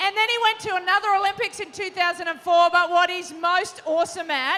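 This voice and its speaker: With an Australian accent, a woman speaks in an extremely high pitch. Her tone is animated and her voice raised and projected. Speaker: panel moderator, former Olympic volleyball player. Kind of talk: live panel moderation to young audience. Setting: stage with audience.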